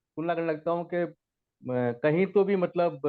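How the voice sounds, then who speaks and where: A man's voice, high in pitch. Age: 60s. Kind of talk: study group discussion.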